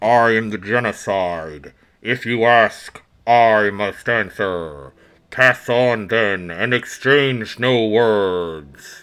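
Putting on a rumbling character voice, a man speaks at a medium pitch and a very slow pace. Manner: bleak, solemn.

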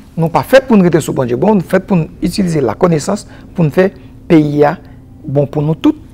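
A fairly high-pitched man at a fairly quick pace, with lively intonation and long, frequent pauses. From Haiti. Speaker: agronomist and environmental specialist; guest. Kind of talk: TV interview. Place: studio. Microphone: lapel.

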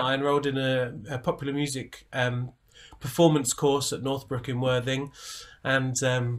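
A man speaks at a moderate pace. The background is quiet. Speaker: guest. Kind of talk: interview answer. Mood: warm, amused storytelling. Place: home room.

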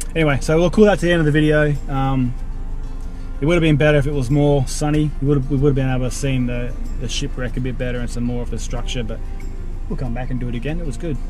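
A man at a very fast pace, fairly even intonation, dry sound with no echo, clear music in the background. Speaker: vlogger. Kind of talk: casual vlog chat. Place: car. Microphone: phone near.

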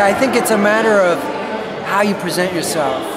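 Someone with an American accent speaks over loud background noise. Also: man. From New Jersey. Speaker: percussionist. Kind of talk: interview. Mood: relaxed, thoughtful. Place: hall. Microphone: phone near.

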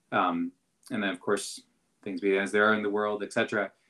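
A man with a Canadian accent speaks quickly in a bright, sharp tone, fairly low in pitch and monotone, against a quiet background. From Canada, southwestern Ontario. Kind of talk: casual chat. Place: home room. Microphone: video call.

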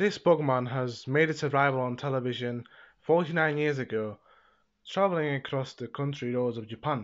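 At a moderate pace, a man talks with ordinary pitch variation over a quiet background. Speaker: video reviewer. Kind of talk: casual video review narration. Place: home room. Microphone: earbuds.

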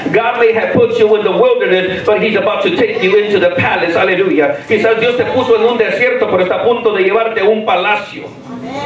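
Amid audible room echo and light background noise, a man in a high, animated voice races along at a very fast pace with ordinary pitch variation and hardly any pauses. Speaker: pastor. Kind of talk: sermon, bilingual English-Spanish with interpreter-style repetition. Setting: church. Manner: animated, call-and-response, pausing for translation; repeats each point in Spanish. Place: church.

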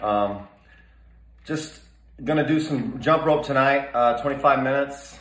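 Audible room echo around a man talking at a moderate pace. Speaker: fitness vlogger. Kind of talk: casual vlog chat. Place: gym. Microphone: phone near.

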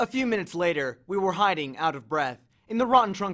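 A natural voice reading, its intonation lively throughout

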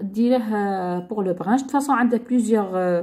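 Somewhat breathy and fairly high, a woman's voice has a dark, mellow tone, ordinary pitch variation and a moderate pace. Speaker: YouTube lifestyle vlogger. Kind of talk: casual product haul video.

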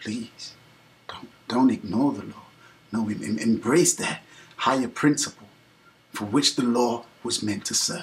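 A man talks fairly slowly in a somewhat breathy voice, with ordinary pitch variation and long, frequent pauses. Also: big swings in loudness. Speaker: vlogger. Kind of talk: earnest address to camera. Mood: earnest, pleading. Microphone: webcam.

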